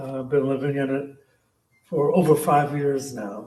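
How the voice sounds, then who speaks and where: Somewhat breathy, a man with a fairly high pitch talks in an American accent. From San Francisco Bay Area, US. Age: 60s. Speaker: poet. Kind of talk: casual talk at a reading. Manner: halting, many fillers.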